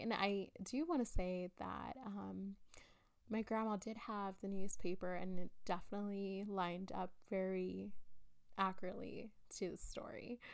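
A woman speaks with a South Texas accent. Her voice sits at medium pitch and her pace is fairly slow. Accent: South Texas American. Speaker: horror podcast host. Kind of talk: casual monologue. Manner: halting, many fillers.

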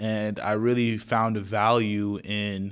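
Man with a normal speaking voice, an American accent, fairly low pitch and fairly even intonation, on a very clean recording with a silent background. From Florida, Naples (Haitian family). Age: young. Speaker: podcast host. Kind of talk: casual solo podcast intro.

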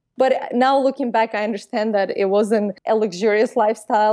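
A woman with a fairly high pitch and a dark, mellow tone speaks with fairly even intonation. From Azerbaijan (Baku). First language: Russian or Azeri. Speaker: entrepreneur and YouTuber. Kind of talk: interview conversation.

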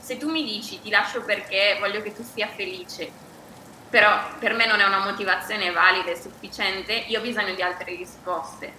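Over noticeable background noise, a woman speaks at a fairly quick pace with a medium pitch, fairly even intonation and big swings in loudness. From Bergamo, northern Italy. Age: 40s. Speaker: yoga teacher and writer. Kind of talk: casual chat, podcast conversation. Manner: hesitant, repeats words.

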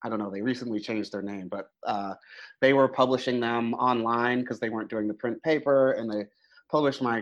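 Heard against a quiet background, the speaker has a plain, everyday voice with fairly even intonation. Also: man. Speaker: comic artist. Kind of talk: interview.

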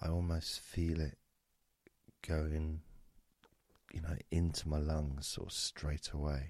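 A man's very deep, low, somewhat breathy voice in monotone, flat intonation, very slow, with long, frequent pauses. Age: 50s. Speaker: hypnotist. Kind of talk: guided meditation. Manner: soft-spoken.

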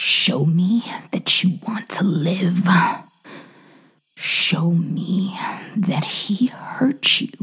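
A raspy, put-on character voice at middle pitch, very slow, with long, frequent pauses. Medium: read story. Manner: calm, menacing, commanding.

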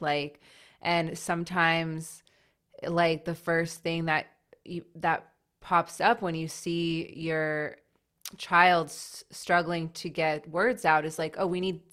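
A woman speaks slowly in a low pitch with a fairly bright tone. The recording is very clean, with a silent background.

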